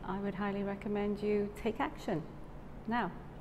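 Noticeable background noise sits under speech at a moderate pace. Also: woman. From South Wales. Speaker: yoga teacher trainee. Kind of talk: testimony. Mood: warm, grateful, smiling. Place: studio. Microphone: lapel.

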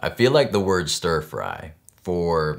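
A man's very deep, low voice with ordinary pitch variation and light background noise. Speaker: cooking channel host. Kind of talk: explanatory talk to camera. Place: kitchen.

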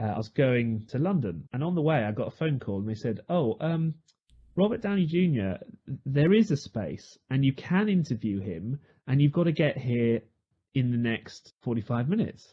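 A man talks at a moderate pace and medium pitch. His voice is somewhat breathy, with very wide pitch swings. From United Kingdom. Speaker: radio news reader. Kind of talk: podcast anecdote.

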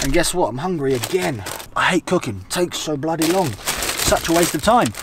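A man talks at a moderate pace. The sound is dry with no echo, though noticeable background noise is present. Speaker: travel vlogger. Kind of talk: casual vlog chat. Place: car.

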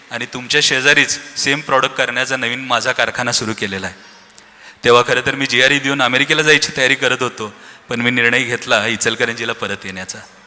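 Medium-pitched male voice with fairly even intonation over noticeable background noise. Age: 30s. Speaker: business owner, founder's son. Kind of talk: speech at family celebration.

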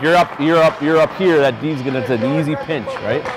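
This man talks at a fairly quick pace with ordinary pitch variation. The sound is dry with no echo, and background noise is noticeable. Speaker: hockey head coach. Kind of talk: coaching instructions to players. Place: stadium. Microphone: lapel.

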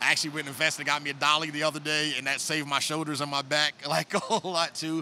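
A man talking at a very fast pace in a monotone, flat intonation, hardly any pauses, light background noise. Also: fairly high pitch for a man, dry sound with no echo. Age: 40s. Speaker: snake breeder; guest. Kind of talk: casual chat. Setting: reptile expo. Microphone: handheld.

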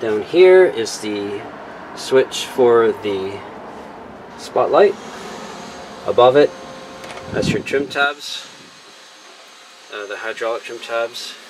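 Long, frequent pauses break up the speech, and there is noticeable background noise. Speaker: seller showing a boat. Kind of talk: casual walkthrough tour. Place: boat. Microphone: phone near.

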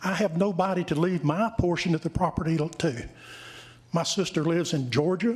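A man with a North Carolina accent speaks at a high pitch. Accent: Southern US (North Carolina). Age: 60s. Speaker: land owner speaking at public hearing. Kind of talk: public comment at town council meeting. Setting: council chamber. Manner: halting.

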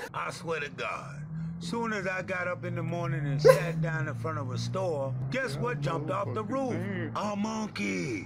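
Using a put-on character voice, a man speaks raspy and fairly high-pitched at a moderate pace. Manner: cartoonish, comic storytelling.

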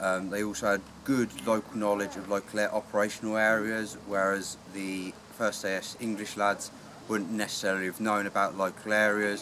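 Over noticeable background noise, a man speaks at a moderate pace, fairly low in pitch with fairly even intonation. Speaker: historical reenactor. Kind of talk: informal talk explaining equipment. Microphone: camera far.

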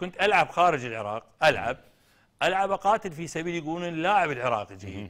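Over a quiet background, a man talks at a moderate pace in a fairly high pitch with very wide pitch swings. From Iraq. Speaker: football coach and former player; football coach. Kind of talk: TV interview. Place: studio.

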